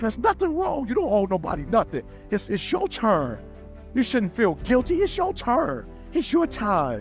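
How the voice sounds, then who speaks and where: Over music in the background, a man speaks fairly slowly in an energetic, passionate tone, with long, frequent pauses. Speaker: motivational speaker. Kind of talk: motivational speech.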